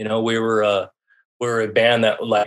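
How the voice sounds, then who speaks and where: This man has a medium pitch and an American accent. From US Southwest, rural southern Colorado. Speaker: left-behind parent telling his story. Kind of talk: personal testimony in interview. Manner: halting, with many fillers and repetitions.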